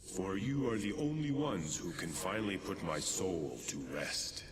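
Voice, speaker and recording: Doing a put-on character voice, a man speaks at a moderate pace with a fairly low pitch, a clear echo and loud background noise. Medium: game stream. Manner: archaic, formal and commanding.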